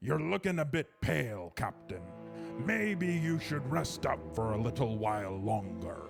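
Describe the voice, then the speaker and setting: A put-on character voice with very wide pitch swings moves at a moderate pace over faint background music. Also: man, medium pitch for a man. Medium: virtual streamer.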